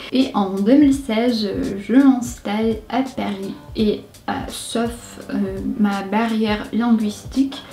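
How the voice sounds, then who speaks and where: A woman with a fairly high pitch and fairly even intonation, music playing in the background. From Siberia, Russia. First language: Russian (speaking French). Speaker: lifestyle vlogger. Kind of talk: casual chat. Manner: halting, many filler sounds.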